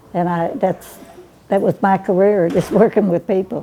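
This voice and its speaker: The speech moves at a moderate pace with fairly even intonation. Noticeable background noise sits behind it. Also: woman. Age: 90s. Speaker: fast food worker. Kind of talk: interview testimony.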